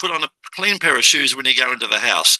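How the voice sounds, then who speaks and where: Recorded with a dry, close sound and no echo, a man with an Australian accent talks at a moderate pace. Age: 70s. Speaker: business podcast host. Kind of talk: interview introduction. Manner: animated.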